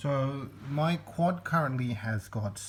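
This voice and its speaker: Somewhat breathy and very slow, the voice carries an Australian accent and ordinary pitch variation. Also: man. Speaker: musician seeking tech support. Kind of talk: video demonstration. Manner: hesitant, many fillers.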